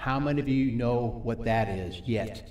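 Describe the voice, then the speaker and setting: With audible room echo and noticeable background noise around him, a man keeps to a moderate pace. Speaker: recovery ministry teacher. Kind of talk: sermon.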